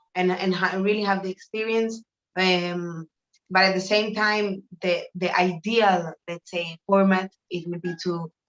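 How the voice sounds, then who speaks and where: In a Spanish accent, a woman speaks at a fairly slow pace with monotone, flat intonation, in a dry, close sound with no echo. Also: medium pitch for a woman. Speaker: artist. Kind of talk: interview. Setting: video call from a shower room. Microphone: echo off bathroom tiles.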